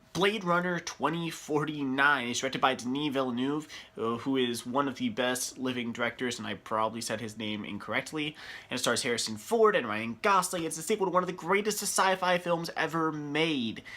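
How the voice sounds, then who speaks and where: With lively intonation and a bright, sharp tone, a man talks at a fairly quick pace and a fairly high pitch. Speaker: movie reviewer. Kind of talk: casual video talk. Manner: animated.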